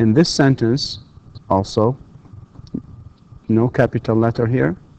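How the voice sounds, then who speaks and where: With an Arabic accent, a man speaks fairly slowly in a dark, mellow tone at a medium pitch with ordinary pitch variation. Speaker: university lecturer. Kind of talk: lecture. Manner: hesitant, many fillers.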